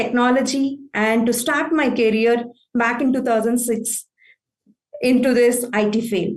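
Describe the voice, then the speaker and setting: A woman with an Indian accent, high-pitched, at a fairly slow pace. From southern India. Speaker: IT operations manager. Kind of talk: conference talk.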